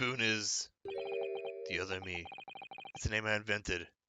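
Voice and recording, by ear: Putting on a character voice, a man speaks at a fairly low pitch with a raspy sound. His intonation is fairly even and his pace moderate.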